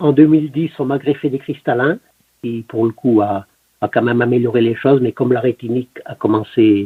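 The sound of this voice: Dry and close with no echo, a man's voice with a slightly husky edge moves at a moderate pace with fairly even intonation.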